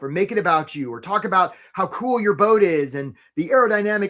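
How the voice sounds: Lively intonation in a natural reading voice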